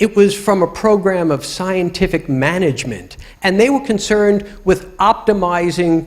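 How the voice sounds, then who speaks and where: A man with a New York accent speaks in a high pitch with ordinary pitch variation. His pace is moderate, with hardly any pauses. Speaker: UX professional. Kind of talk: lecture.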